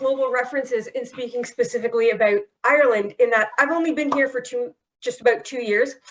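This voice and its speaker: Raising and projecting her voice, a woman with a high pitch and a bright, sharp tone talks at a fairly quick pace with ordinary pitch variation. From Canada. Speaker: security professional. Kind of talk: panel discussion.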